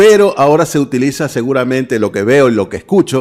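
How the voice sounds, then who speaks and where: Speaking at a moderate pace, a man with medium pitch uses a normal speaking voice with lively intonation. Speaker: radio announcer and voice-over artist. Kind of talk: interview.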